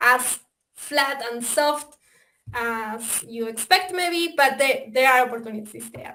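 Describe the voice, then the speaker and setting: A woman with an Argentine accent speaks at a high pitch and a very slow pace, her bright, sharp tone showing ordinary pitch variation and big swings in loudness. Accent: Argentinian. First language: Spanish. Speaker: software developer presenting a simulator. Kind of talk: webinar presentation. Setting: online webinar. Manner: hesitant, many fillers.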